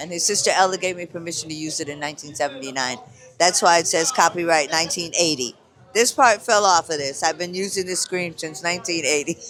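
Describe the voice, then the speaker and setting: Music plays in the background as a man talks. His pitch is high, with ordinary variation. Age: 70s. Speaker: hand healer and vendor. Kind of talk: casual chat.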